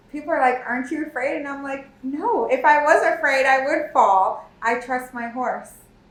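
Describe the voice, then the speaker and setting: Moderately paced speech from a woman with an American accent and ordinary pitch variation, amid noticeable background noise and audible room echo. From South Florida. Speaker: engineering firm co-founder. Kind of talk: interview podcast.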